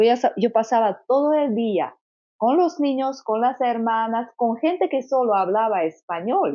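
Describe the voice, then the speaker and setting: A woman's lively intonation carries through her fairly slow speech. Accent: Slovak. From Slovakia. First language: Slovak (speaking Spanish). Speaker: consecrated virgin. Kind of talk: testimony. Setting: Medjugorje, rainy day. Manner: halting.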